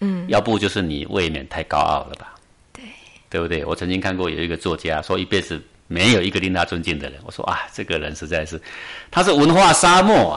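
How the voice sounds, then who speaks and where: Big swings in loudness from a man talking at a fairly quick pace. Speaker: meditation teacher. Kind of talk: interview.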